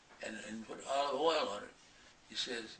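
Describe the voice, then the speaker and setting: Noticeable background noise and audible room echo surround a man's voice. He speaks at a moderate pace with ordinary pitch variation. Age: 80s+. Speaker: centenarian author. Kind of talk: interview storytelling. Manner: halting.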